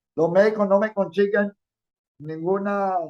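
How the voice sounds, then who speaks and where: The delivery is fairly slow, with fairly even intonation and a dry, close sound that has no echo. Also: man. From Venezuela, Táchira state (Andean). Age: 70s. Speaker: human rights defender and former legislator. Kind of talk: interview.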